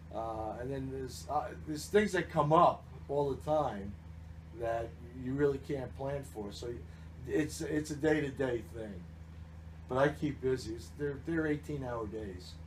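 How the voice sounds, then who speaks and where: Somewhat breathy and in an American accent, a man of medium pitch speaks at a fairly slow pace with long, frequent pauses and very wide pitch swings. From New Jersey. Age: 60s. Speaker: baseball team general manager. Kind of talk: interview. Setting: radio broadcast.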